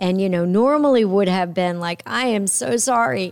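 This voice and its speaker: A woman with an American accent has a plain, everyday voice at medium pitch, speaking at a moderate pace with ordinary pitch variation. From upstate New York. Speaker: podcast host. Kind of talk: interview.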